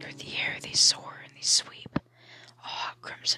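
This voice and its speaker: Whispering at a fairly slow pace, the speaker is heard over music in the background. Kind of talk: ASMR reading aloud of a bedtime story book. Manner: soft, hushed, lulling sing-song cadence for the gentle lines.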